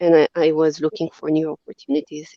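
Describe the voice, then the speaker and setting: This is a woman speaking. She has an Israeli accent. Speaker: company CEO. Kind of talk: podcast interview.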